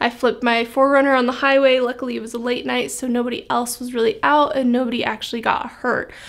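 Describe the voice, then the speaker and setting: At a fairly quick pace, a woman speaks with a high pitch and fairly even intonation. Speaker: vlogger. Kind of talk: casual vlog chat.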